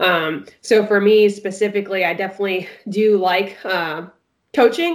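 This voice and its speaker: A woman's normal speaking voice, medium in pitch, with fairly even intonation. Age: 20s. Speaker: swim coach. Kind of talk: casual chat.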